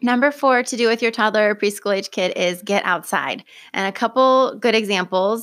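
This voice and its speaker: A woman with an unremarkable speaking voice and an American accent talks at a moderate pace in a fairly high pitch, with ordinary pitch variation. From US Pacific Northwest, Oregon (Lane County). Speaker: certified nurse midwife, birth center director. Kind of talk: casual interview. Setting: podcast studio.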